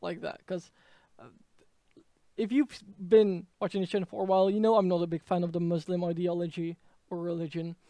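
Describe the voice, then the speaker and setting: A man speaks with a Dutch accent at a high pitch. His tone is dark and mellow. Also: dry, close sound with no echo. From Netherlands. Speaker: political commentator. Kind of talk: political commentary monologue. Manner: halting, many fillers.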